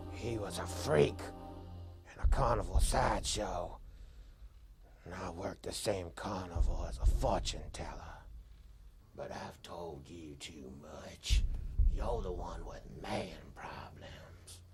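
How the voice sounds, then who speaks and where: A man whispers in a put-on character voice with an amused tone, leaving long, frequent pauses. Background noise is clearly audible. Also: fairly slow pace. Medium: short film. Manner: knowing, unhurried, darkly amused.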